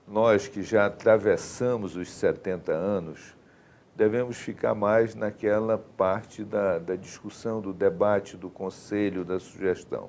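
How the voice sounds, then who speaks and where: At a very slow pace, a man speaks at a fairly low pitch with fairly even intonation. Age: 70s. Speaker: politician, candidate. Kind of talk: live TV interview.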